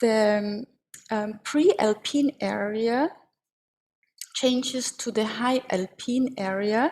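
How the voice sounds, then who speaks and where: Speaking very slowly with long, frequent pauses, a woman with an Austrian accent uses a fairly high pitch and ordinary pitch variation. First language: German. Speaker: agricultural advisory expert. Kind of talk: webinar presentation. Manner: halting, with frequent fillers.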